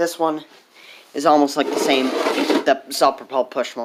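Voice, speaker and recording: A man's shaky, fairly high voice moves at a fairly slow pace in a flat monotone, with noticeable background noise. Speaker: small engine repair hobbyist. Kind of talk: casual tutorial.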